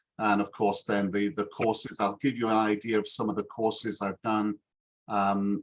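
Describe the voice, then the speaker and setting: Fairly low male voice with a Yorkshire accent and flat, monotone intonation. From northern England, Yorkshire (Harrogate). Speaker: English teacher. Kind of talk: self-introduction in a video call interview. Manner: hesitant, many fillers.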